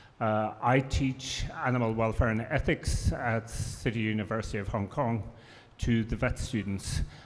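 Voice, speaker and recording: Using fairly even intonation, a man with an Irish accent speaks at a moderate pace. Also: medium pitch for a man. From Ireland. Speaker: professor. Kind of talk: panel discussion.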